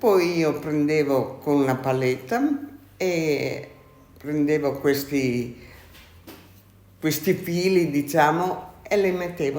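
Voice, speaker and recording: A woman's very deep, low voice at a very slow pace, with ordinary pitch variation and audible room echo. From Italy, Friuli (Maniago). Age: 80s+. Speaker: former silk mill worker. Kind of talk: interview. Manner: halting.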